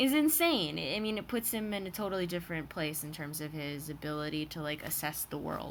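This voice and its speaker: A woman with an American accent speaks in a very deep, low voice. Her pace is moderate and her pitch variation ordinary. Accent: Michigan accent, coming out slightly. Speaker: vlogger / TV reaction commentator. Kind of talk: casual commentary monologue. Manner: hesitant, many fillers.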